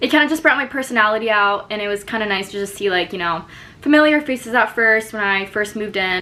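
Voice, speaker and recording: A woman with an American accent speaks fairly quickly at a fairly high pitch, with ordinary pitch variation, amid noticeable background noise. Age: 20s. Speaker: college student vlogger. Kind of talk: casual tutorial vlog.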